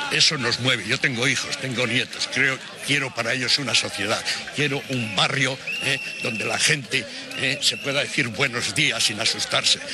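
A man's dry sound with no echo, set against noticeable background noise. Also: moderate pace. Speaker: retired neighbourhood activist. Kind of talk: interview answer. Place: street. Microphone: handheld.

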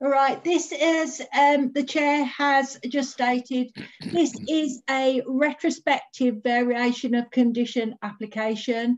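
Over a quiet background, a woman speaks at a very slow pace in a high pitch with fairly even intonation. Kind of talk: formal presentation. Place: home room. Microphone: video call.

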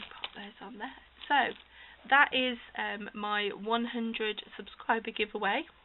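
A woman with a British accent speaks at a fairly slow pace. Her intonation is fairly even over light background noise. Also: fairly high pitch for a woman, big swings in loudness. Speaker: crafter hosting a giveaway. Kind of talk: casual talk to camera. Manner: hesitant, many fillers. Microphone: phone near.

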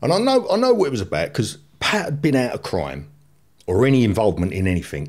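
Against a quiet background, a man speaks at a fairly quick pace with a fairly low pitch and vocal fry. His pitch swings very widely. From London, Islington; London. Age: 50s. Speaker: former gangster; podcast guest. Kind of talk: testimony. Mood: blunt, incredulous. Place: studio. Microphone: studio mic.

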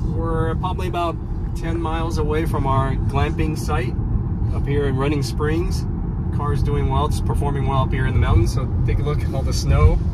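Loud background noise runs behind a man speaking at a moderate pace. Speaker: car owner vlogger. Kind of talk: casual vlog chat. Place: car. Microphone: camera far.

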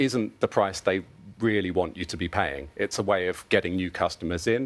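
With a British accent, a man speaks at a moderate pace in a very deep, low pitch. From UK. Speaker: consumer telecoms analyst. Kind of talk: TV news interview. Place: studio. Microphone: lapel.

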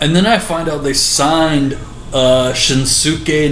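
This is a man's voice. The room echo is audible, and there is light background noise. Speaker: vlogger. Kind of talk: casual vlog rant. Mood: frustrated, exasperated. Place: home room. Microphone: webcam.

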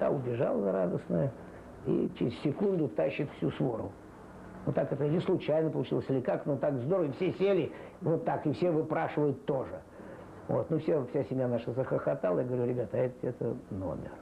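A man talks at a fairly quick pace with vocal fry. Light background noise sits underneath. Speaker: animal trainer. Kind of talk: interview answer.

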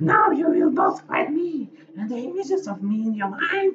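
A put-on character voice comes through at a high pitch. The pace is fairly slow. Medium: actual play. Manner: defiant, proud.

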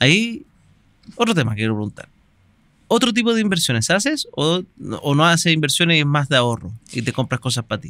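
Speaking with a Chilean accent at a fairly quick pace broken by long, frequent pauses, a man with a bright, sharp tone and fairly high pitch swings very widely in pitch, with a dry sound with no echo and a quiet background. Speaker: podcast host. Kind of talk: interview. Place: studio. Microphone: studio mic.

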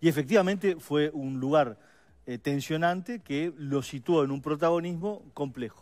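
A man at a moderate pace, fairly high-pitched, with ordinary pitch variation, over a quiet background. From Uruguay. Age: 50s. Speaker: political adviser, campaign policy coordinator; guest. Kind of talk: radio/TV panel interview. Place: studio.

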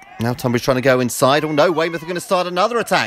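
A man talks at a very fast pace and fairly high pitch. Noticeable background noise can be heard. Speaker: football commentator. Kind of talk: live football match commentary, with a brisk play-by-play. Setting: outdoors at the ground on a cold afternoon. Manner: fast, clipped and energetic, naming players as they touch the ball; rises in excitement at the goals, with a dry, wry tone at the hat-trick and final score.

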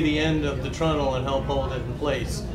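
A man talks at an average speed. Clear noise can be heard behind him. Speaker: wooden ship restoration worker. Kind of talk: explanatory walkthrough. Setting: outdoors at a boat show. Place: workshop. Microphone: lapel.

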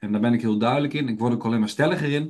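With a quiet background, a man speaks in an unremarkable speaking voice at medium pitch with ordinary pitch variation. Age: 30s. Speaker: health educator and trainer. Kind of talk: webinar lecture. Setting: online webinar.

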